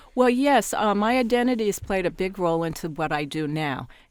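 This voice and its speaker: A woman with lively intonation at a moderate pace, on a very clean recording with a silent background. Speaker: media consultant and former journalist. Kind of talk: interview. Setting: studio at a journalism school. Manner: hesitant, many fillers.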